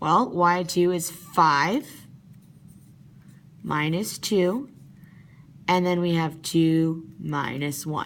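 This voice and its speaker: A woman's fairly low voice with long, frequent pauses and audible room echo. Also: ordinary pitch variation. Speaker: math teacher. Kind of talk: tutorial. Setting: at work, after hours. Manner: fast.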